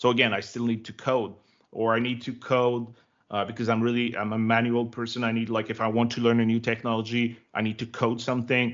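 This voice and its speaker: A man with a Quebec accent, medium pitch and monotone, flat intonation. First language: French. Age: 30s. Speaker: tech developer relations director. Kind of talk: interview.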